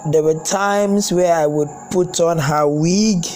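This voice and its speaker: Over music in the background and with audible room echo, a man with a high pitch speaks with ordinary pitch variation. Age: young. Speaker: personal vlogger sharing life confessions. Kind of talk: personal testimony. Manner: halting, repetitive.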